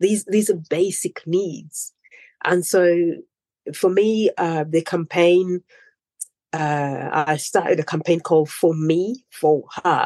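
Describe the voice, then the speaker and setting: A woman speaks at a very slow pace with a fairly low pitch, a dark, mellow tone and fairly even intonation, leaving long, frequent pauses in a dry, close sound with no echo. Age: 40s. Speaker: humanitarian and entrepreneur. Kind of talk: interview.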